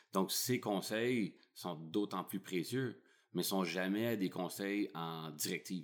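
A man's very deep, low voice at a very slow pace. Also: very clean recording, silent background. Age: 30s. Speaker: entrepreneur and photographer. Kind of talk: interview. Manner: halting, many repetitions.

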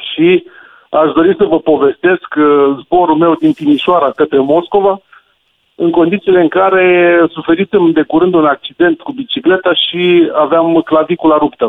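Ordinary pitch movement and a moderate pace from a man with a high-pitched voice. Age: 40s. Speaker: radio caller. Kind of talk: phone-in anecdote.

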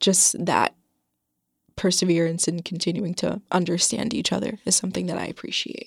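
A woman with an American accent speaks at a moderate pace in a fairly low voice with vocal fry and ordinary pitch variation. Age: young. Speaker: recent high school graduate, workshop facilitator. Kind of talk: interview. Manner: hesitant, many fillers.

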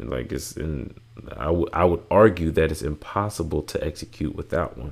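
This man's voice sits very deep and low, with vocal fry. He speaks at a moderate pace with ordinary pitch variation. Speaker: podcast host. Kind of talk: casual solo monologue. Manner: many fillers like um and like.

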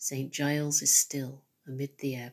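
At a very slow pace, a woman talks with a very deep, low pitch. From Nottingham, England. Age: 50s. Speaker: poet. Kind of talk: poetry reading.

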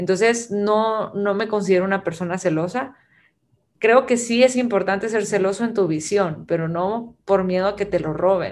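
A woman speaks at a moderate pace and medium pitch with ordinary pitch variation, in a normal speaking voice. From Guatemala. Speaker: creative director and artist. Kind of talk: casual chat.

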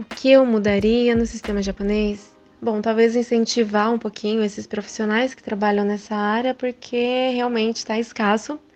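Over noticeable background noise, a woman talks at a moderate pace with hardly any pauses. Her fairly high voice has monotone, flat intonation but big swings in loudness. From Japan (Brazilian family). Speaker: recruiter, mother. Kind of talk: interview.

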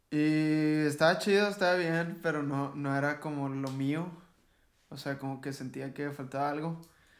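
In a room with audible echo, a man speaks fairly slowly at a fairly high pitch with fairly even intonation. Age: 20s. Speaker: rock band vocalist. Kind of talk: casual chat.

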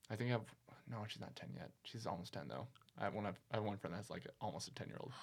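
Very fast and full of lively intonation, a man talks at a fairly low pitch with vocal fry. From Tennessee. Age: 20s. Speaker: podcast guest. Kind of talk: casual chat.

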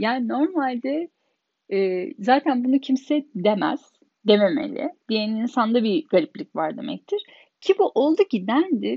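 A woman speaks at a fairly slow pace. Her high voice moves in very wide pitch swings. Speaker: podcaster. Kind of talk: personal monologue.

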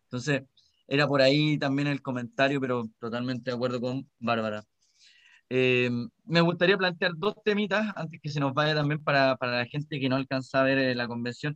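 At a moderate pace, a man talks with a Chilean accent. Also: medium pitch for a man, ordinary pitch variation. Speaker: podcast co-host, volunteer. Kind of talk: casual chat.

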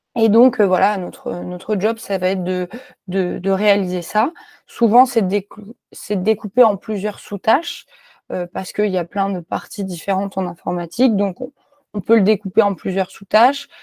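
The voice has a dark, mellow tone, ordinary pitch variation, and a moderate pace with long, frequent pauses. The sound is dry and close, with no echo. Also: woman, medium pitch for a woman. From France, Clermont-Ferrand. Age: 20s. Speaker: software developer. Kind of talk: interview. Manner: hesitant with many fillers and repetitions.

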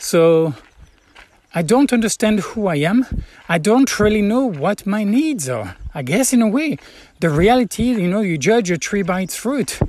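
A man's high-pitched voice at a moderate pace. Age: 40s. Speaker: pilgrim video blogger. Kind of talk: personal reflective monologue. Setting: lodging room on the Camino in Spain. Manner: halting, with frequent fillers.

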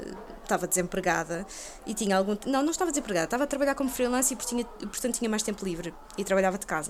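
A woman speaks very fast with lively intonation at a fairly high pitch. Noticeable background noise sits behind her. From Portugal, Lisbon (Chelas). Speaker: video game journalist. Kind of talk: casual chat.

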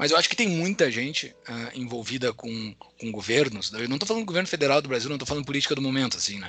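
With music in the background, the speaker talks at a very fast pace with very wide pitch swings. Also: man. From southern Brazil, Rio Grande do Sul. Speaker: finance executive and podcaster. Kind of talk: casual interview chat. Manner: hesitant with frequent fillers.

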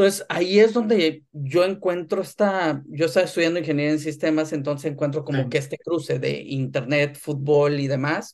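A man uses an unremarkable speaking voice of fairly high pitch with ordinary pitch variation. He talks at a fairly quick pace with hardly any pauses. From northern Mexico, Tamaulipas. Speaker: sports business executive. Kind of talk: interview.

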